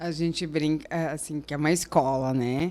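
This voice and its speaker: Recorded very cleanly against a silent background, a woman with a southern Brazilian accent talks at a moderate pace with ordinary pitch variation. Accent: gaúcho. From southern Brazil, Rio Grande do Sul highlands. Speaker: architect. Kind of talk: interview. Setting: studio.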